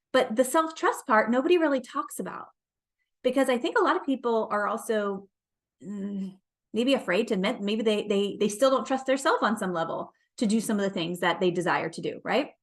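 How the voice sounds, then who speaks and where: Fairly high-pitched and animated, a woman talks at a fairly quick pace with lively intonation. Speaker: life and business coach. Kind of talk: motivational talk. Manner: fast.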